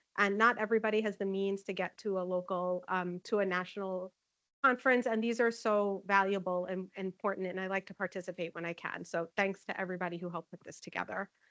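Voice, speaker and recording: A woman at medium pitch and a very fast pace, fairly even intonation, big swings in loudness, dry, close sound with no echo against a quiet background. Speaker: nursing informatics manager presenting. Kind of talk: conference presentation.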